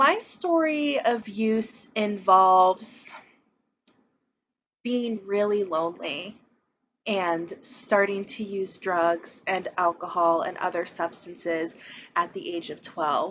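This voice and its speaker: A woman speaks very slowly with lively intonation. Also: medium pitch for a woman. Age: 20s. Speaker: person in recovery. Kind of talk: testimony.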